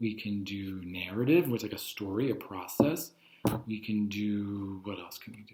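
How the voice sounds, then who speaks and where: A man is talking. His pitch is fairly low. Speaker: teacher. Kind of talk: lecture. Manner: fast; casual.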